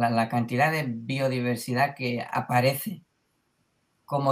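A man with a medium-pitched voice talks at a very slow pace with fairly even intonation. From Mallorca, Spain. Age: 20s. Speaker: beginning market gardener. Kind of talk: casual interview chat.

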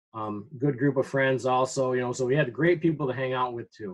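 A man with an American accent, medium in pitch, an unremarkable speaking voice. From Upper Peninsula of Michigan. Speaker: high school teacher. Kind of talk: interview. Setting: video call.

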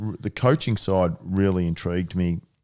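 In a very clean recording with a silent background, a man with an Australian accent speaks in a very deep, low pitch with fairly even intonation. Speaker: sports management CEO, former footballer. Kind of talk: casual interview.

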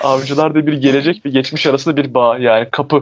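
A man with fairly high pitch talks at a fairly quick pace. His intonation is fairly even. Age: 20s. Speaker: podcast co-host. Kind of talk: casual chat.

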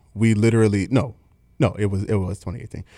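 A man with a Baltimore accent, fairly low pitch and fairly even intonation, in a very clean recording with a silent background. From Baltimore, Maryland. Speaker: drummer and band manager. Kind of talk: casual interview chat. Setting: studio.

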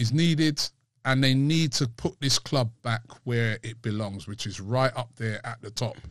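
Against a quiet background, a man with a London accent keeps a moderate pace and medium pitch with ordinary pitch variation. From London, England. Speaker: football fan channel host. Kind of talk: casual chat.

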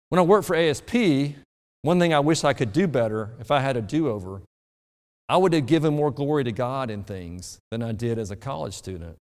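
Heard with audible room echo, the speaker talks at a fairly quick pace in an Alabama accent, the pitch swinging very widely. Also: man, medium pitch for a man. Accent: Southern US (Alabama). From US South, rural Alabama. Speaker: pastor. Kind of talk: sermon.

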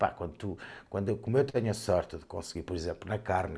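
Somewhat breathy and dark, mellow in tone, a man with a European Portuguese accent speaks at a fairly low pitch with lively intonation on a very clean recording with a silent background. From Portugal. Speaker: food and wine critic. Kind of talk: casual chat.

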